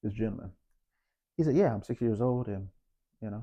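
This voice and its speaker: A man is speaking. His tone is dark and mellow. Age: 50s. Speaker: health vlogger. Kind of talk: casual storytelling vlog. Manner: casual, halting with many fillers.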